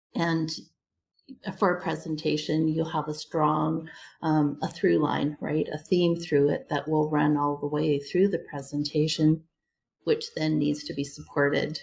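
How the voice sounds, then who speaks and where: With vocal fry, a woman speaks in a very deep, low voice. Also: fairly even intonation, fairly slow pace. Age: 60s. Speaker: public speaking coach. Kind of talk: interview. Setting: home front room; video call.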